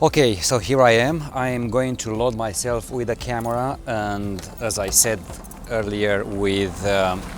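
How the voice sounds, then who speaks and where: Over noticeable background noise, a man talks very slowly at medium pitch with ordinary pitch variation. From Romania. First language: Romanian. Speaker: photographer. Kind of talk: tutorial vlog. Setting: outdoors. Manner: hesitant, many fillers.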